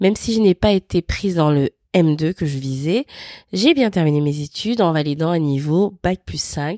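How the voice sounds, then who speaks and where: A woman talks at a fairly slow pace in a fairly low pitch with a dark, mellow tone and lively intonation. The recording is very clean and dry, close, with no echo and a silent background. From Gabon (Libreville). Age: 30s. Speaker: podcast host and freelance content strategist. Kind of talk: personal narrative monologue.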